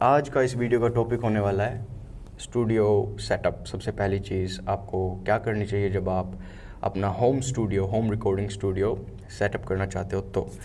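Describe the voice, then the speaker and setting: A man's fairly low voice with vocal fry, a dark, mellow tone and fairly even intonation. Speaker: sound engineer, music tutorial YouTuber. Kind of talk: tutorial. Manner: casual with fillers and English code-switching.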